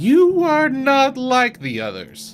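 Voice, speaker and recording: A man's put-on character voice, extremely high for a man, over faint music in the background. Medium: solo performance. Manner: grave, hollow.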